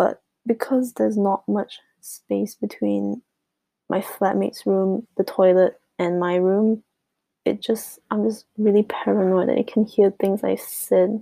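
A woman speaks quietly at a fairly slow pace. The recording is very clean with a silent background and a dry, close sound with no echo. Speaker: podcaster. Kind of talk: casual chat. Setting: bedroom at home.

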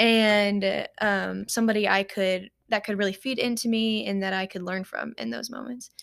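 With a Kentucky accent, a woman speaks at a medium pitch and a moderate pace. Her intonation is fairly even, and the recording is very clean with a silent background. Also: hardly any pauses. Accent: Kentucky Southern US. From Paducah, Kentucky. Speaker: ministry intern and college student. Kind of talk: casual interview.

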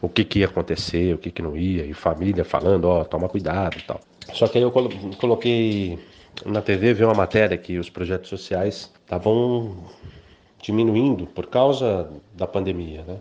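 With a fairly low pitch, a man talks in an unremarkable speaking voice. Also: ordinary pitch variation, moderate pace. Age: 40s. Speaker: journalist and radio broadcaster. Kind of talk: interview testimony.

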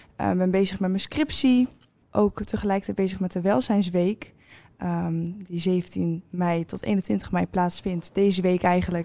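Her voice has a dark, mellow tone, and this woman talks at a fairly slow pace with ordinary pitch variation. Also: medium pitch for a woman. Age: 20s. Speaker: student podcast host. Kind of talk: interview.

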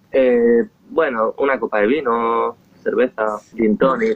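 A man's voice at a fairly slow pace. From Spain, Esplugues de Llobregat (Barcelona area). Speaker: singer-songwriter. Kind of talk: interview. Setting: outdoors on his terrace, remote call.

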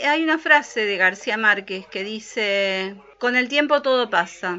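A woman's ordinary speaking voice, fairly high in pitch, at a moderate pace with lively intonation. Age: 40s. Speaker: podcast co-host. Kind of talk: casual chat.

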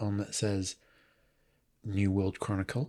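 In a Mancunian accent, a man speaks at a moderate pace with a fairly low pitch. The recording is very clean, with a silent background. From Manchester, England. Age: 40s. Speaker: podcaster and film fan. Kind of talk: casual chat.

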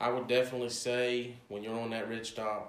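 A man with an Appalachian accent at a fairly quick pace, with audible room echo. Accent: Appalachian American. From West Virginia, Cross Lanes. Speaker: game call maker. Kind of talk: casual chat.

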